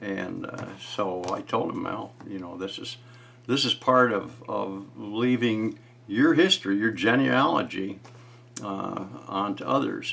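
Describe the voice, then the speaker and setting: A man at a very slow pace, with big swings in loudness over noticeable background noise. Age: 70s. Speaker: retired YouTuber sharing family history. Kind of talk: casual vlog monologue. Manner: halting, many fillers.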